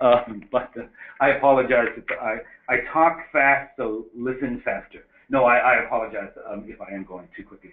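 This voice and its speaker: This man's medium-pitched voice shows ordinary pitch variation and big swings in loudness. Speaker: medical school dean and professor. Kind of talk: lecture. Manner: fast; hesitant, many fillers.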